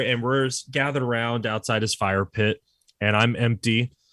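A man's medium-pitched, unremarkable speaking voice at a moderate pace. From Texas, San Antonio. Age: 30s. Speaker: podcast guest, movie fan. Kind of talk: casual chat.

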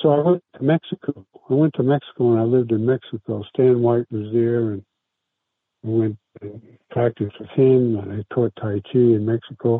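A man talks at a moderate pace and medium pitch. His intonation stays fairly even while his loudness swings a lot. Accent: American. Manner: halting, many fillers.

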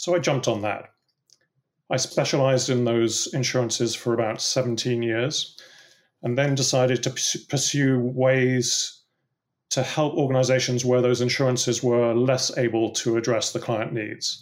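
A man with a British accent talks at a moderate pace in a medium pitch. His intonation is flat and monotone. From England. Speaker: political risk consultant. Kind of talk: interview answers, professional discussion.

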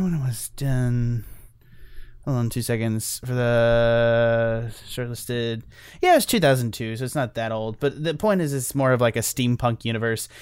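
On a very clean recording with a silent background, a man with an unremarkable speaking voice talks at a medium pitch and a moderate pace. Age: 20s. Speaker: movie podcast co-host. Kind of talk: casual chat.

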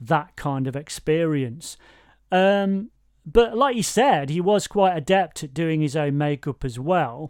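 In a very clean recording with a silent background, a man with an East Midlands accent speaks at a fairly slow pace with a fairly high pitch and lively intonation. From Nottingham, England. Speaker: podcast host. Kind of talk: casual chat. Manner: halting, self-interrupting.

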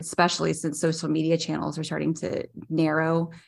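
A woman with a very deep, low pitch and vocal fry speaks at a fairly quick pace with fairly even intonation. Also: very clean recording, silent background. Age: 30s. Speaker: podcast co-host. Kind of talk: casual chat.

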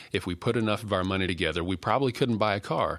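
With a Texan accent, a man uses a fairly low pitch and a bright, sharp tone, with ordinary pitch variation. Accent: Texan American. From West Texas. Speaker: denominational staff minister and podcast host. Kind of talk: devotional teaching.

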